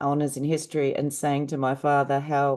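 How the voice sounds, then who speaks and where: A woman's dark, mellow tone with an Australian accent against a quiet background. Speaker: panel speaker, university graduate. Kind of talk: panel talk.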